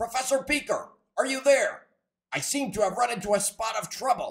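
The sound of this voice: In a cartoonish character voice, a man talks at a fairly quick pace with an extremely high pitch.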